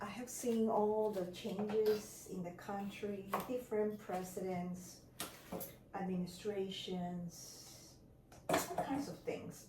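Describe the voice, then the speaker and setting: Very slow, fairly even speech in an Ecuadorian accent, with long, frequent pauses, noticeable background noise and audible room echo. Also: woman, medium pitch for a woman. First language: Spanish. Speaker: lifestyle vlogger. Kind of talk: casual vlog narration.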